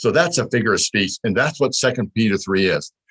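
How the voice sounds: Heard as dry, close sound with no echo, the voice moves at a fairly quick pace with lively intonation, a fairly bright tone and a slightly husky edge. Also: man, fairly low pitch for a man.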